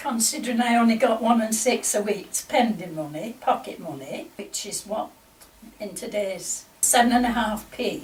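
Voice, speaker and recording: Speaking with a Lancashire accent, a woman with a fairly high pitch uses lively intonation and big swings in loudness over noticeable background noise. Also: moderate pace. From northern England, Lancaster area. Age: 80s+. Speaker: oral history interviewee. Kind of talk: oral history interview.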